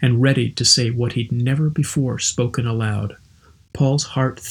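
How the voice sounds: Fairly even intonation shapes this natural reading voice.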